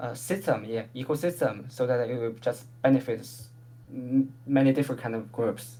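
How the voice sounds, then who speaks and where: The speaker has a non-native accent and talks at a moderate speed. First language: not English. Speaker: proposal presenter. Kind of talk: community call presentation. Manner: halting.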